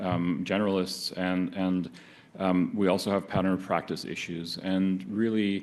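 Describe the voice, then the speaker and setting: Audible room echo surrounds a man's voice. His pitch is very deep and low, and his intonation stays fairly even. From not Canada. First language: not English. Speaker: medical oncologist. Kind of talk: conference talk. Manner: halting, many fillers.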